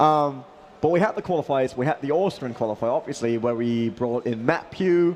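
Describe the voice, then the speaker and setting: Noticeable background noise sits behind a man's voice. He talks at a fairly high pitch with lively intonation. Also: fairly quick pace. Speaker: esports commentator. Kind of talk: live commentary. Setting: live event venue.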